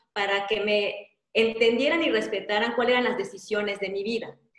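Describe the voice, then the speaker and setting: With fairly even intonation, a woman of fairly high pitch speaks at a moderate pace in audible room echo. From Mexico, Yucatán (Mérida). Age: 40s. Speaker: life coach. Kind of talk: interview.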